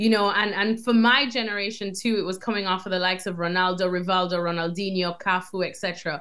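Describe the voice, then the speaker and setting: Speaking with an American accent, a woman talks at a fairly quick pace and medium pitch. She hardly pauses at all. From Jamaica. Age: young. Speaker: soccer TV host and reporter. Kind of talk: interview. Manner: animated.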